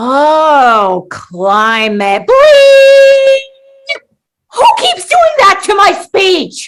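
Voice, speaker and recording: A put-on character voice, female-sounding, extremely high in pitch, at a very slow pace. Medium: audio drama. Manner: dry, sarcastic.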